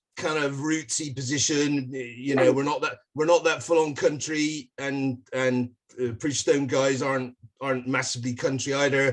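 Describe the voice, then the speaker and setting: A man with a British accent speaks at a moderate pace, fairly high in pitch with fairly even intonation. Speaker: rock band musician. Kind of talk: interview.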